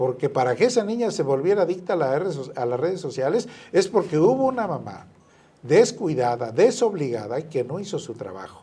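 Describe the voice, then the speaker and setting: A man with a fairly high pitch has a dark, mellow tone. He talks at a fairly quick pace with very wide pitch swings. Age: 60s. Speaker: author and businessman. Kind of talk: radio interview.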